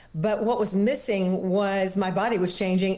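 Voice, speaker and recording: At a moderate pace, a woman talks with ordinary pitch variation while audible room echo surrounds her voice. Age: 70s. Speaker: fitness studio founder and author. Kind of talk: interview.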